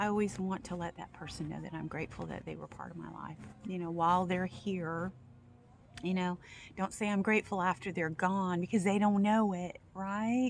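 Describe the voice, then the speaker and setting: A woman in a normal speaking voice holds a medium pitch and fairly even intonation, with big swings in loudness. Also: moderate pace. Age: 60s. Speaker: video blogger, former home care worker. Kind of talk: casual monologue.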